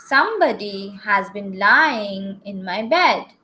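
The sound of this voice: Putting on a gruff character voice, a woman speaks at a medium pitch and a fairly slow pace.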